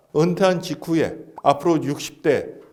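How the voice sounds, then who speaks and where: A man's high voice with audible room echo. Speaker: retirement planning expert. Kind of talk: interview talk, lecture-like advice. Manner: explanatory, structured.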